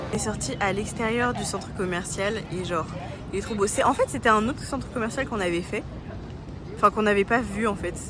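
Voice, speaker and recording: A woman speaks at a fairly quick pace. Crowd noise fills the background. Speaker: travel vlogger. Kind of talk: casual vlog narration. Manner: halting, stammering.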